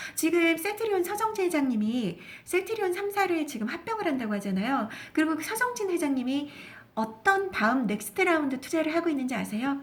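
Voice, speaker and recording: A woman speaks with extremely high pitch and very wide pitch swings at a fairly quick pace. Noticeable background noise sits behind her. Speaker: stock market broadcaster. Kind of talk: investment talk show.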